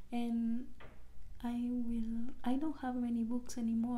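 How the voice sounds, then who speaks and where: Whispering at a very slow pace, the woman is soft-spoken. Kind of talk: ASMR decluttering talk to camera. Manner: whispered, soft-spoken.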